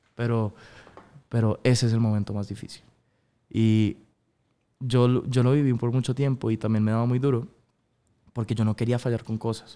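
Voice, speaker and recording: A man of medium pitch with a dark, mellow tone talks at a fairly quick pace with monotone, flat intonation. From Colombia (Bogotá), early childhood in Miami; Colombia. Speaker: singer; guest. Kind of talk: interview. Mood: relaxed, earnest. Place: studio. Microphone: studio mic.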